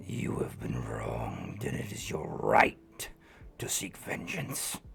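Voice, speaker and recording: Using a put-on character voice, a man talks at a fairly slow pace with a raspy sound. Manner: whispering, tempting.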